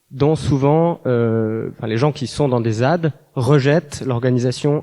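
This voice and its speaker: The man's tone is dark and mellow. He holds a medium pitch and fairly even intonation. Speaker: audience member asking a question. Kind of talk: audience question. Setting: conference hall with audience.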